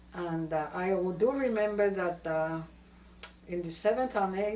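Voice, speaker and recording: A woman with a Spanish accent speaks fairly slowly at medium pitch, with fairly even intonation and noticeable background noise. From Puerto Rico (Cayey). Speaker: family elder interviewee. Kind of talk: oral history interview. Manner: halting.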